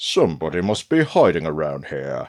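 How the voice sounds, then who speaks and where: A man uses a put-on character voice, very deep and low in pitch. It sounds raspy and moves at a moderate pace. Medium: read story.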